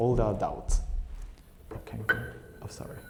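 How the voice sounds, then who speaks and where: A man talks with fairly even intonation. Music plays in the background, and the room echo is audible. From Japan, Tokyo. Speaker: Buddhist minister, guest lecturer. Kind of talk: lecture. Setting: temple hall with audience, PA system. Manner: halting; quiet. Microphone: too quiet, volume adjusted.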